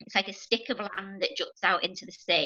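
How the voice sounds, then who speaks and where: A woman speaks with a Liverpool accent. Her tone is bright and sharp. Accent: Scouse (Liverpool). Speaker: NHS nurse working with children. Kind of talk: casual interview chat. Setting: video call.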